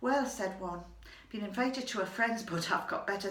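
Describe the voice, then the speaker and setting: Over noticeable background noise and audible room echo, a woman talks at a moderate pace in a medium pitch with ordinary pitch variation. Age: 60s. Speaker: storyteller. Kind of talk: storytelling monologue.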